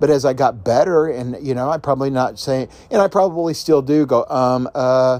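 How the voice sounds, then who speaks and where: A man talks in a normal speaking voice at medium pitch. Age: 50s. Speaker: podcast host and self-help author. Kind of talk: solo motivational podcast monologue. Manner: casual with frequent filler words.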